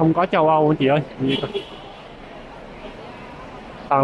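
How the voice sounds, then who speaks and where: A man is heard in a dry sound with no echo, with noticeable background noise behind him. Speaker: vlogger. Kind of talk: casual vlog commentary. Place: station. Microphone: phone near.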